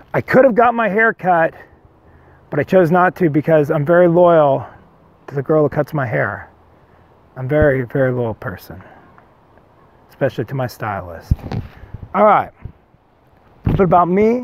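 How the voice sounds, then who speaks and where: A man's fairly high, animated voice at a moderate pace, with very wide pitch swings, long, frequent pauses and a dry sound with no echo. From Whittier, Southern California; Southern California. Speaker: singer-songwriter vlogger. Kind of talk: casual vlog monologue. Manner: rambling, animated. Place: forest. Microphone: lapel.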